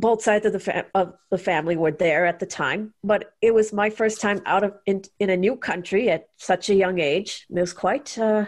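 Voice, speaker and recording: An unremarkable speaking voice with an American accent moves at a moderate pace with hardly any pauses. Its intonation is fairly even and its loudness very even. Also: woman, medium pitch for a woman, quiet background. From India (Chennai), early childhood in US. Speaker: guest, religious abuse survivor and activist. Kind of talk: interview conversation.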